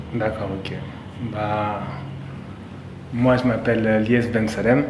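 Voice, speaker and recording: Amid noticeable background noise and audible room echo, a man speaks very slowly with fairly even intonation. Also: fairly low pitch for a man. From France, Saint-Denis (Paris suburbs). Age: 30s. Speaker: pastry chef. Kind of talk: interview. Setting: in a bakery under construction.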